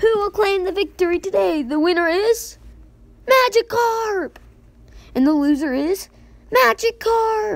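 A woman performs a put-on character voice at an extremely high pitch, leaving long, frequent pauses. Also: fairly slow pace. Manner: weird, exaggerated.

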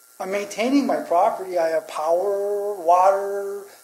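At a high pitch, this man's voice comes with audible room echo and noticeable background noise. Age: 60s. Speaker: public commenter, auto body worker. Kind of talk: public comment. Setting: town council meeting.

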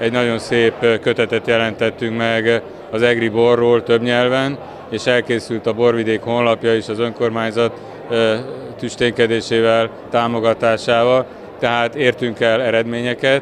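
Over noticeable background noise, a man talks at a fairly slow pace with monotone, flat intonation. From Hungary. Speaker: chamber of commerce president. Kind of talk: interview. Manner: halting. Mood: calm, matter-of-fact. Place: hall. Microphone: handheld.

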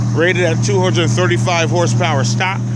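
The recording is dry with no echo, yet the background noise is loud. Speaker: car seller. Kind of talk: sales walkaround commentary. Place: street. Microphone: phone near.

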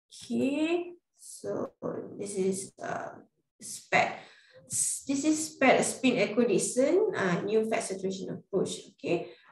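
In a Malaysian accent, a woman with a fairly high pitch talks at a very slow pace with very wide pitch swings, and audible room echo surrounds her. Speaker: radiographer. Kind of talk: webinar presentation. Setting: video call. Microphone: webcam.

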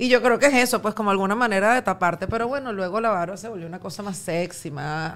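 Very fast, nearly pause-free delivery with a Venezuelan accent, ordinary pitch variation and big swings in loudness. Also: woman. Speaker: radio and TV presenter, podcaster; radio, TV presenter, podcaster. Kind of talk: casual chat. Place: studio. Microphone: studio mic.

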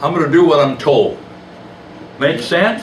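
There is a man speaking with audible room echo. Light background noise sits underneath. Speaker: preacher. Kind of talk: sermon. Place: church.

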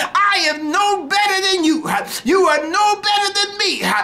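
At a fairly slow pace, a man speaks in a raised, projected voice. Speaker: preacher. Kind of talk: fervent radio altar-call sermon, pleading with listeners to get saved now. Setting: radio broadcast. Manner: impassioned, rhythmic whooping cadence punctuated by huh and hallelujah; repetitive, urgent exhortation. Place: studio. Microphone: studio mic.

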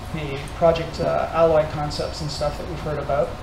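A man talks over noticeable background noise. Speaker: tech meetup organizer. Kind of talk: meetup announcements. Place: hall. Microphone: handheld.

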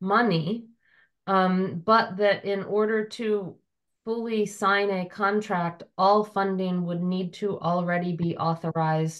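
Over a quiet background, a woman with a plain, everyday voice speaks at a fairly slow pace in a medium pitch with fairly even intonation. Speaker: town councilor. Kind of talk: public committee meeting discussion. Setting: video call.

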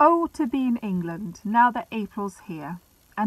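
Lively intonation in an unforced reading voice

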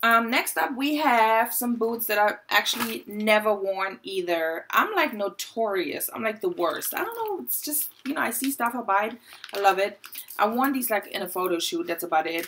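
A woman with a German accent and lively intonation, at a moderate pace over light background noise. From Germany. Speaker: fashion YouTuber. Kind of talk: casual vlog. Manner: animated. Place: home room. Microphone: phone near.

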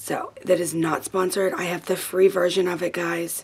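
A woman with an unremarkable speaking voice and fairly low pitch talks at a fairly slow pace. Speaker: vlogger. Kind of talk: casual vlog chat. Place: kitchen. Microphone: phone near.

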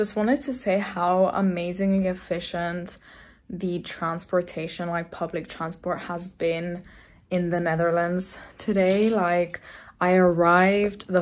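With an ordinary speaking voice, a woman talks at a fairly low pitch and a fairly slow pace, her intonation fairly even. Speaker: vlogger. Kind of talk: casual vlog chat. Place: home room. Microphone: phone near.

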